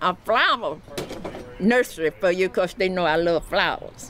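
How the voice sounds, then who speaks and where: A woman speaks over noticeable background noise. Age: 80s+. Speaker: homeowner helped by a charity. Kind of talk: interview testimony.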